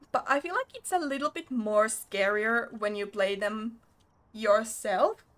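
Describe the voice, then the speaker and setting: The voice belongs to a woman and sits fairly high in pitch, with ordinary pitch variation. There is noticeable background noise. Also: fairly slow pace. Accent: non-native. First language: not English. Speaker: game streamer. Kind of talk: casual chat while livestreaming a game.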